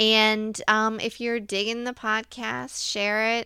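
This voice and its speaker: A woman speaks very slowly with an American accent, her pitch fairly high. Her tone is bright and sharp on a very clean recording with a silent background. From Virginia, US. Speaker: podcast co-host. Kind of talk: reading aloud; casual chat.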